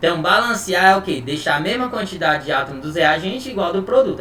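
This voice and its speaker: A man with a high-pitched voice talks at a fairly quick pace with lively intonation, his voice raised and projected. Noticeable background noise and audible room echo fill the recording. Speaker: chemistry teacher. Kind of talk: online lecture. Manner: casual, informal.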